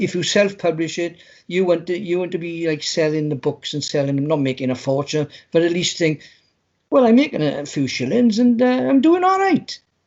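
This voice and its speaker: A man with a British accent speaks at a fairly quick pace and a high pitch, with lively intonation. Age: 70s. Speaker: poet and writer. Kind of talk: casual chat. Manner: halting, repetitive.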